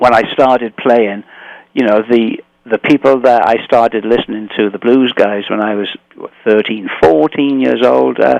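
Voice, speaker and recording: A man with an English accent, dry, close sound with no echo, moderate pace and ordinary pitch variation. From England. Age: 60s. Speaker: blues guitarist. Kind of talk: radio interview. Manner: halting.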